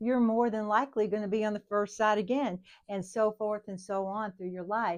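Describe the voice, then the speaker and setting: A woman with a normal speaking voice talks at a moderate pace and fairly high pitch, her intonation fairly even. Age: 60s. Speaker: nursing instructor. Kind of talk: lecture. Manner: casual, conversational.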